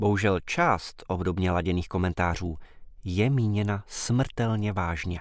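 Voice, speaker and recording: A man's very deep, low voice at a very slow pace with fairly even intonation, in a very clean recording with a silent background. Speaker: newspaper commentator. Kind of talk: scripted commentary reading.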